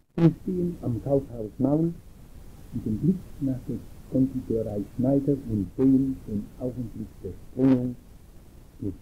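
Speaking very slowly with long, frequent pauses, a man uses a somewhat breathy voice of dark, mellow tone and ordinary pitch variation. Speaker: retired Protestant pastor. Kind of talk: slide show lecture on local history. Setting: old analog tape recording, poor sound. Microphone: old recording.

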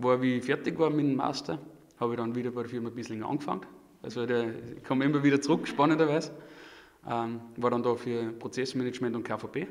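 A man talking at a very fast pace with fairly even intonation, over a quiet background. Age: 30s. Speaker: supply chain manager. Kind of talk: casual interview. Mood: relaxed, friendly. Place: studio. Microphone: studio mic.

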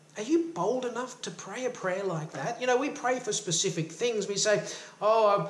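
A man's warm, high-pitched voice carries audible room echo. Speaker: self-help coach and motivational YouTuber. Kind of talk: fervent prayer-like devotional teaching, invoking blessing. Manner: earnest, impassioned, warm and uplifting, boldly pleading. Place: home room. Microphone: phone near.

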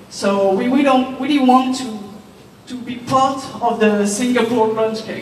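A woman talks at a fairly slow pace in a high pitch with fairly even intonation. Audible room echo and light background noise surround her. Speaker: presenter. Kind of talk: corporate presentation speech. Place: hall.

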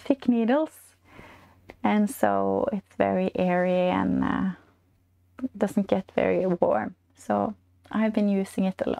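A woman's voice at a very slow pace over a quiet background. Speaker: knitting podcast host. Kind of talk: casual vlog chat. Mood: warm, cheerful. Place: home room. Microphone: lapel.

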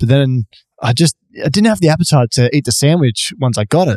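Very fast speech in an Australian accent, with lively intonation, a dark, mellow tone and a dry, close sound with no echo. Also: man. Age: 30s. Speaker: podcast co-host. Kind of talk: casual chat.

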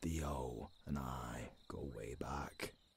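A man in a put-on character voice, extremely low in pitch, very slow in pace, with fairly even intonation

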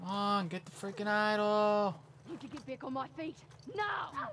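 Noticeable background noise is present throughout. The talking is fairly slow. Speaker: gamer streamer. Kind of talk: live gameplay commentary with an angry rant, swearing and euphemisms like frick and dang. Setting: video game commentary.

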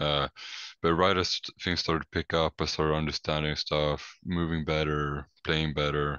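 Speaking with a Swedish accent, a man with a very deep, low pitch keeps a monotone, flat intonation, very even loudness and a moderate pace. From Sweden. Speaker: college basketball player. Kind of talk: casual interview.

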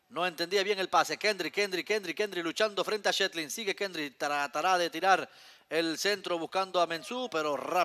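A man talks at a moderate pace and high pitch with fairly even intonation and a bright, sharp tone. The sound is dry and close, with no echo. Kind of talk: live sports commentary.

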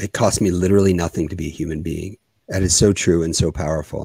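This man has a very deep, low pitch and a dark, mellow tone, speaking at a fairly quick pace. The sound is dry with no echo, over a quiet background. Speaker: podcast host. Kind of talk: casual interview. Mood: warm, appreciative. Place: office. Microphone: studio mic.

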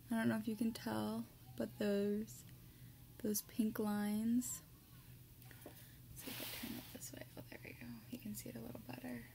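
A woman speaks at a moderate pace, her loudness swinging widely. Long pauses come often, over noticeable background noise. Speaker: ASMR creator. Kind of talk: casual talk to camera. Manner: normal speaking voice, not whispered. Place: home room. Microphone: webcam.

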